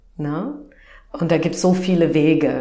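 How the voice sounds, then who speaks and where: A woman's fairly low voice with an English accent, amid noticeable background noise and audible room echo. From US Midwest. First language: English (speaking German). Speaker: naturopath and energy coach. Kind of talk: interview. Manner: halting.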